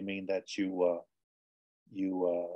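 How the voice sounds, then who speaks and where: Here a man speaks with a fairly low pitch and ordinary pitch variation. His tone is dark and mellow. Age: 60s. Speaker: author and former soldier. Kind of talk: interview. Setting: video call. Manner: halting, many repetitions.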